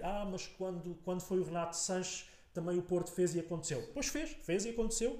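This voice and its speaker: A man with a dark, mellow tone speaks at a fairly quick pace amid audible room echo. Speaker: political podcaster. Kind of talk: casual political discussion. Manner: halting, many repetitions.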